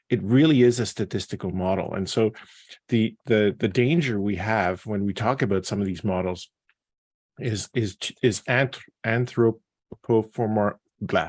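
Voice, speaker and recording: Speaking at a fairly slow pace, a man with a fairly low pitch and ordinary pitch variation is heard in a very clean recording with a silent background and a dry, close sound with no echo. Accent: non-native. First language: not English. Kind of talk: panel discussion. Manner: halting.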